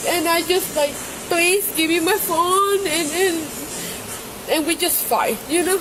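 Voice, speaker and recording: Amid noticeable background noise, a woman with a non-native accent speaks fairly slowly at an extremely high pitch, with ordinary pitch variation, very even loudness and long, frequent pauses. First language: not English. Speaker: domestic disturbance complainant. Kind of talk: police bodycam interview. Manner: halting, many repetitions.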